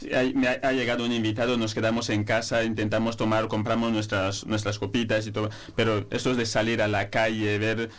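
The man's pitch is medium and his pace moderate. His intonation is monotone and flat. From Equatorial Guinea. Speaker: master's student, journalist. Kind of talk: radio panel discussion.

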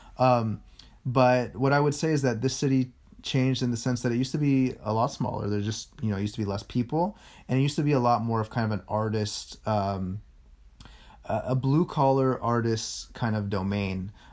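A man with a Californian accent, medium in pitch and ordinary in pitch variation, at a fairly quick pace, on a very clean recording with a silent background. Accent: Californian American. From San Francisco, Sunset district. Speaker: podcast co-host. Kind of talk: casual chat.

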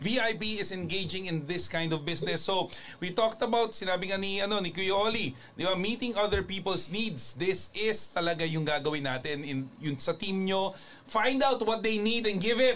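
A man's high voice moves at a moderate pace, its intonation lively. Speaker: network marketing show host. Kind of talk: casual talk.

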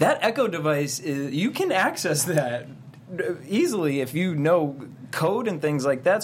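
A man's fairly high voice with lively intonation at a moderate pace, over noticeable background noise. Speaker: co-host. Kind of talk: casual chat.

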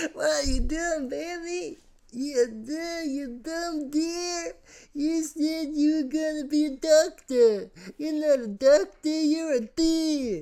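This put-on character voice sits at a high pitch. It moves at a very slow pace. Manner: exasperated, nagging.

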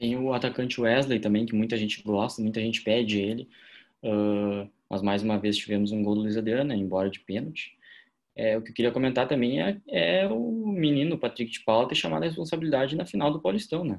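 Speaking in an ordinary speaking voice, a man holds a medium pitch with ordinary pitch variation at a fairly quick pace. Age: 20s. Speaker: football podcast co-host, journalism student. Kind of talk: casual chat.

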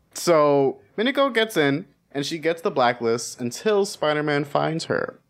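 A man speaks in a normal speaking voice at a fairly slow pace, with a fairly high pitch and lively intonation. The recording is very clean, with a silent background. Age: young. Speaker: podcast guest, co-host of another podcast. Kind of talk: casual chat.

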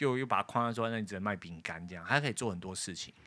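Speaking with a Taiwanese accent, a man uses a medium pitch with ordinary variation and a bright, sharp tone. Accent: Taiwanese Mandarin. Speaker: podcast host. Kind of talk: casual chat. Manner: hesitant with many fillers.

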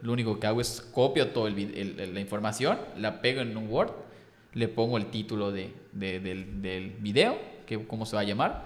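Spoken at a moderate pace with fairly even intonation, the voice carries audible room echo. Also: man, fairly low pitch for a man. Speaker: content creator. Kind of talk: casual chat.

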